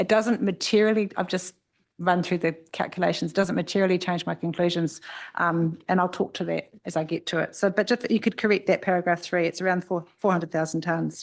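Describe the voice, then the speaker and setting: A woman with a New Zealand accent, fairly low in pitch, fairly quick, with fairly even intonation against a quiet background. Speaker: expert witness on air quality. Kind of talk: formal hearing testimony. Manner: fast.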